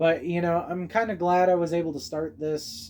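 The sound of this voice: Speaking at a moderate pace, a man has a fairly high pitch and a slightly mellow tone.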